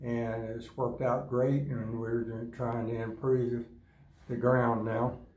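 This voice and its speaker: A man with a Florida accent, very slow and monotone, flat in intonation, with audible room echo. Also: medium pitch for a man. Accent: US Southern (Florida). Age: 80s+. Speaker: rancher. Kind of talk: casual interview. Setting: grazing school event.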